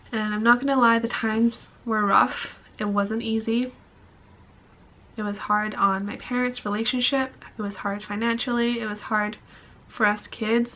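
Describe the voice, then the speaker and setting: In a Canadian accent, a woman speaks at a fairly high pitch with monotone, flat intonation and long, frequent pauses. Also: moderate pace. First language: Mandarin. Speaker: vlogger. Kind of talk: casual chat.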